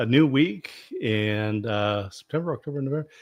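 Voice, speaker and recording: A man with an unremarkable speaking voice keeps to a moderate pace and medium pitch while the background stays quiet. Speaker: podcast co-host. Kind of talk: casual talk.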